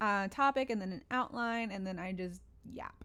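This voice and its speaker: In an American accent, a woman speaks at a moderate pace with ordinary pitch variation. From US South, Northeast Tennessee (Appalachia). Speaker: podcast host, songwriter and producer. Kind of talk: casual unscripted monologue. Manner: casual, with many fillers.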